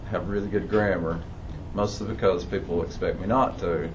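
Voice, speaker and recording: Against noticeable background noise and audible room echo, a man talks with ordinary pitch variation. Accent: Appalachian. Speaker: audience member. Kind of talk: audience Q&A.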